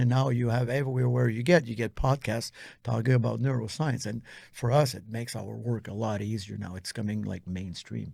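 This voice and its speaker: Speaking at a fairly quick pace, a man has a medium pitch and a dark, mellow tone. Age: 60s. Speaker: posturology trainer. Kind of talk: interview conversation. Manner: animated.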